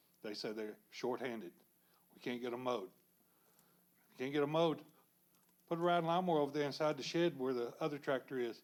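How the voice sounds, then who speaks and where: A man with a Texan accent speaks at a very fast pace in a fairly high voice. He leaves long, frequent pauses. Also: ordinary pitch variation. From Texas, Pasadena. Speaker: public commenter, retiree. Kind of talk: public comment at city council. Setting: city council meeting room.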